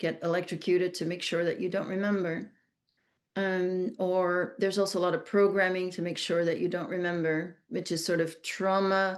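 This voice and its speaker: Her pitch medium, a woman with a Flemish Belgian accent speaks in monotone, flat intonation. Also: moderate pace, quiet background. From Belgium (Flemish). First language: Dutch (Flemish). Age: 60s. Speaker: trafficking survivor and speaker. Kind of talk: interview testimony. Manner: halting, many restarts and fillers.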